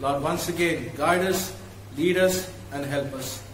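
A man talks at a moderate pace, with light background noise and audible room echo in the recording. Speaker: pastor leading worship. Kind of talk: prayer. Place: church.

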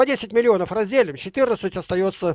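A man talks with ordinary pitch variation. The sound is dry with no echo, and the background is quiet. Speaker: guest. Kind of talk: animated argument in a video call conversation. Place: home room. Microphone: headset.

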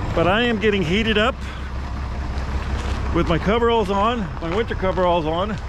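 A man at a fairly quick pace, dry sound with no echo, noticeable background noise behind him. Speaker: farmer doing tractor repair. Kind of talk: casual vlog chat. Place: farm machine. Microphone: phone near.

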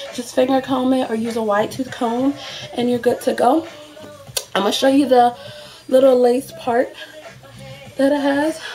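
A woman with a high pitch and fairly even intonation speaks over music in the background. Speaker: beauty product reviewer. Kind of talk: casual talk to camera. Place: home room. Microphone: webcam.

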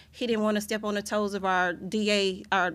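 At a moderate pace, a woman speaks at a medium pitch with little pitch movement.

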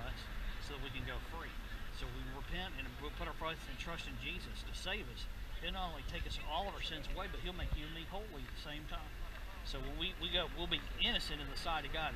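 Over loud background noise, a man rattles off his words at a very fast pace. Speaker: street evangelist interviewer. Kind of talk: street evangelism conversation. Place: street. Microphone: camera far.

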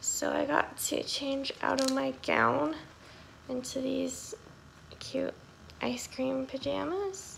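Over light background noise, a woman speaks at a very slow pace in a hoarse voice. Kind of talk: casual vlog chat. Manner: weak, hoarse post-surgery voice, in pain. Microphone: phone near.

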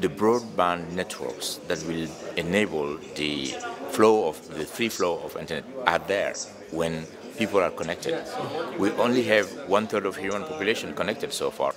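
A man at a moderate pace, with long, frequent pauses and music in the background. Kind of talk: interview answer. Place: hall.

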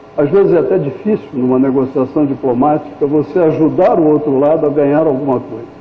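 A man speaks at a moderate pace with a fairly high pitch and ordinary pitch variation. Noticeable background noise and audible room echo are present. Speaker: diplomat, ambassador. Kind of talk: lecture. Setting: hall with audience.

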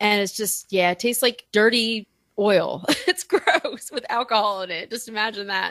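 On a very clean recording with a silent background and a dry, close sound with no echo, a woman speaks in a normal speaking voice at a moderate pace, with fairly high pitch and ordinary pitch variation. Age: 40s. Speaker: writer and podcast guest. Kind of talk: casual chat.

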